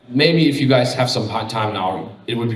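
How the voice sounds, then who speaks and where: With audible room echo and noticeable background noise, a man rattles off his words at a very fast pace. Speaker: conference speaker on game funding. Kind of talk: conference talk.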